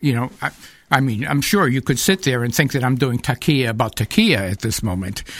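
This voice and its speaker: A plain, everyday voice from a man with an American accent, medium pitch and lively intonation, on a very clean recording with a silent background. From New Hampshire, US (Manchester). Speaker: speaker on Islam. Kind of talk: radio interview.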